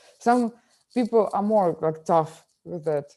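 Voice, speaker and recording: A woman with a Ukrainian accent, dark, mellow tone, ordinary pitch variation and fairly slow pace, on a very clean recording with a silent background. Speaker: film director. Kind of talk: interview. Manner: halting, many fillers.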